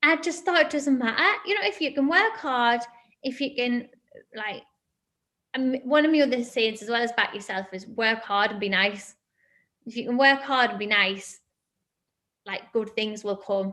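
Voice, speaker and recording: With a Northeast England accent, a woman speaks in a high pitch and a bright, sharp tone at a moderate pace, with lively intonation and long, frequent pauses. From northern England, Sunderland. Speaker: fitness entrepreneur. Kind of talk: interview answers to children.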